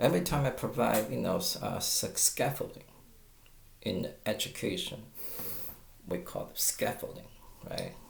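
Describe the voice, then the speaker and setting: A man in a Chinese accent speaks with long, frequent pauses amid audible room echo. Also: moderate pace. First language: Mandarin Chinese. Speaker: guitar teacher. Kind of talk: tutorial. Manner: halting, with stammers and fillers.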